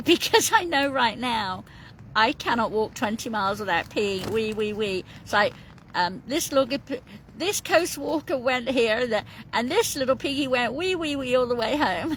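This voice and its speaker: A woman's high voice moves with lively intonation while noticeable noise carries on behind her. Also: moderate pace. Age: 50s. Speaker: coastal walker vlogger. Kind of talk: casual vlog chat. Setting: in a tent on the coast. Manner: chatty, rambling with fillers.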